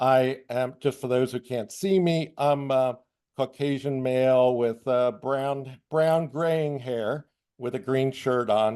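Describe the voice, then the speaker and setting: At a very slow pace, a man speaks in a dark, mellow tone at a medium pitch. His intonation stays fairly even. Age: 60s. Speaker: blind traveler, guest speaker. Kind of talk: personal introduction on webinar. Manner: hesitant, many fillers.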